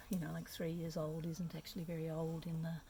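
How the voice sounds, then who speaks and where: Somewhat breathy and dark, mellow in tone, a woman speaks with an Australian accent. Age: 60s. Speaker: community development worker. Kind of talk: interview. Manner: hesitant, many fillers.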